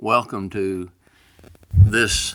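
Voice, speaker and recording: The speaker is a man with a Southern US accent. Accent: rural Southern US (hillbilly). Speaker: pastor. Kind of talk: informal devotional message. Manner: casual and folksy.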